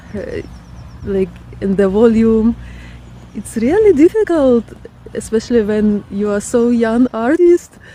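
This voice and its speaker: Against noticeable background noise, a woman with a Ukrainian accent speaks at a fairly high pitch and fairly slow pace, with long, frequent pauses. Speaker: artist and vlogger. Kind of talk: casual vlog talk. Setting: outdoors in a park. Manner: halting, with many fillers.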